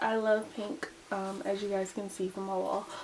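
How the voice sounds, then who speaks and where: A woman talks at a moderate speed while noticeable background noise sounds behind her. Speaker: makeup youtuber. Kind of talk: makeup tutorial. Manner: casual and chatty.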